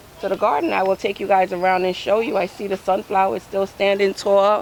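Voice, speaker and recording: Noticeable background noise sits behind the speaker. She is a woman with a medium pitch. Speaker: home gardening vlogger. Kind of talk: casual vlog walkthrough. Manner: loud; halting with many fillers.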